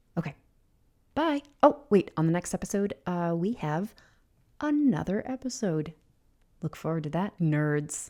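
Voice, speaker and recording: A quiet woman's voice with a dark, mellow tone, very wide pitch swings, long and frequent pauses and a fairly slow pace, on a very clean recording with a silent background. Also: fairly low pitch for a woman. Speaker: podcast host. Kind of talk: podcast outro. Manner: quiet, subdued.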